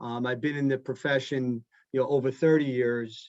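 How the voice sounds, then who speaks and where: With a dry, close sound and no echo, a man speaks at a moderate pace in a fairly high voice with fairly even intonation. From Long Island, New York. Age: 50s. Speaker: accounting firm managing partner. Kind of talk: interview on a webinar panel. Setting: video call. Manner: many fillers and restarts.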